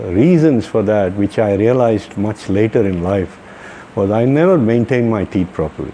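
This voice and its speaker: A man at a moderate pace with lively intonation, amid noticeable background noise. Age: 60s. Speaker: dental patient. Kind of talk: testimony. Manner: halting.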